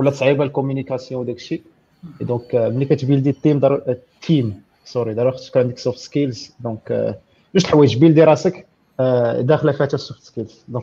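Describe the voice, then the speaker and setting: At a fairly quick pace, a man talks in a somewhat breathy voice with a dark, mellow tone, medium pitch and ordinary pitch variation. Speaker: software engineer. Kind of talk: casual tech Q&A.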